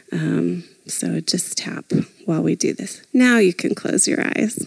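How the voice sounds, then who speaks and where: Amid noticeable background noise, a woman speaks in a calm, gentle tone, the sound dry and close with no echo. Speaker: therapist. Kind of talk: guided meditation. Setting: live retreat with a microphone and audience. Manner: soft, slow, calm guiding voice with gentle pauses.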